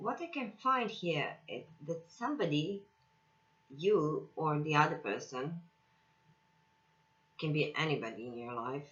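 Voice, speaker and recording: A woman with a non-native accent speaks at a fairly slow pace with long, frequent pauses, her very deep, low voice showing very wide pitch swings and big swings in loudness. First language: not English. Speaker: tarot reader. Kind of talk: tarot reading. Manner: halting, with many fillers.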